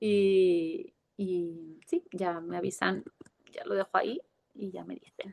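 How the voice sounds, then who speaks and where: A woman speaks very slowly, with big swings in loudness. The sound is dry and close, with no echo. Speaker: visiting professor. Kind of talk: lecture.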